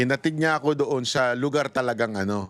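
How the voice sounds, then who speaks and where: The man speaks with a medium pitch and ordinary pitch variation. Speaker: political commentator. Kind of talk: casual storytelling commentary. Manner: animated.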